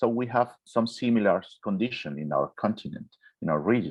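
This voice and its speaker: Speaking with a Spanish accent, a man keeps to a fairly slow pace. His pitch sits fairly low. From Venezuela. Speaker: orthopedic surgeon. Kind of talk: Q&A answer in online webinar. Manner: halting, with fillers and restarts.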